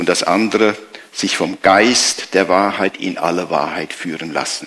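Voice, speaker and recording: A man with a fairly low pitch speaks very slowly in a bright, sharp tone. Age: 60s. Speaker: pastor. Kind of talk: sermon.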